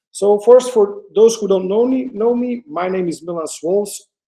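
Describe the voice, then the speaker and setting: A man's dark, mellow tone at a moderate pace. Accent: Flemish. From Belgium, Antwerp (Flanders). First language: Dutch. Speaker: photographer. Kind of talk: webinar presentation. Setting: online webinar. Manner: hesitant, many fillers.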